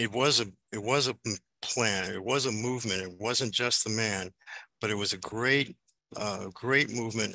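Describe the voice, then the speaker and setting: Spoken with an American accent, the voice has a bright, sharp tone, heard against a quiet background in a dry sound with no echo. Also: man, medium pitch for a man, ordinary pitch variation, moderate pace. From Chicago South Side; Chicago. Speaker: activist. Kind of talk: panel discussion. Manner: halting. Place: home room. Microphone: video call.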